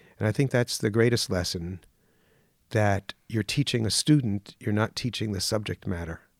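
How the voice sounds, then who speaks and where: A man with an American accent and a normal speaking voice talks at a fairly low pitch and a moderate pace, with ordinary pitch variation. The recording is very clean and dry, with a silent background and no echo. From New York, Mount Vernon near the Bronx. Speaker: drama teacher. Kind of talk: interview.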